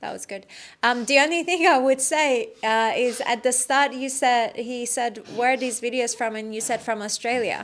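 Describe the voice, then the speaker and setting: A woman with an American accent speaks in a normal speaking voice at a fairly high pitch, with ordinary pitch variation. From Iran. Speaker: activism trainer. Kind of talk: workshop feedback.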